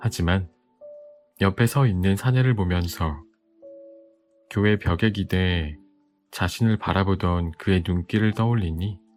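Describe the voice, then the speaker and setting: With music in the background, a man with a very deep, low pitch talks at a very slow pace, keeping very even loudness and ordinary pitch variation between long, frequent pauses. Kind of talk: bedtime audiobook reading. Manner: soft, calm.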